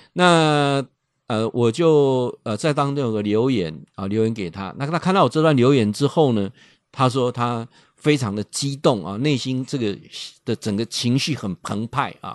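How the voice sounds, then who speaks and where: The delivery is animated with lively intonation at a fairly slow pace, recorded with a dry, close sound and no echo. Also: man, medium pitch for a man, quiet background. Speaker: radio host and professor. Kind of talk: radio talk monologue. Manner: animated, many filler particles.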